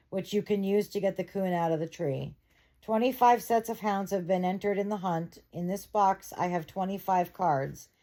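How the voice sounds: This is a natural reading voice. It is used throughout the clip.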